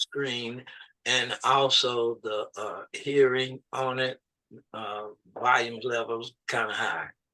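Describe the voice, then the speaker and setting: In an American accent, a man speaks very slowly at medium pitch with monotone, flat intonation, the sound dry and close with no echo. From Austin, Texas. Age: 70s. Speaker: program client. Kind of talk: intake interview.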